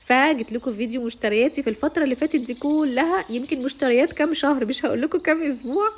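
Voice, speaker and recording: Amid noticeable background noise, a woman with a high voice talks at a fairly quick pace with ordinary pitch variation and hardly any pauses. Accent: Egyptian. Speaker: vlogger. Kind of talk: casual vlog talk to camera.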